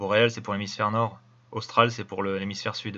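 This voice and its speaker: A man's fairly low, bright, sharp voice at a very fast pace, monotone and flat, over a quiet background. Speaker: video commentator. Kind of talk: commentary over video. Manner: casual.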